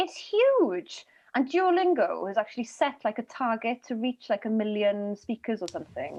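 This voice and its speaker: At a moderate pace, a woman with a Welsh accent speaks fairly high in pitch, swinging very widely up and down. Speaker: comedian. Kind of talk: comedy panel show.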